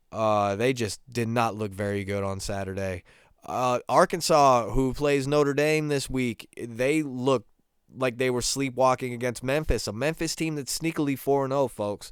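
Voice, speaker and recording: The recording is very clean with a silent background, the speech at a moderate pace with ordinary pitch variation. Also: man, medium pitch for a man. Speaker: sports podcast host. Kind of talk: casual solo sports talk. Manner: halting, many fillers and repeats.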